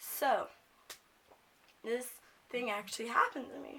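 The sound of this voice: A woman speaks slowly at a fairly high pitch, her tone bright and sharp, with ordinary pitch variation.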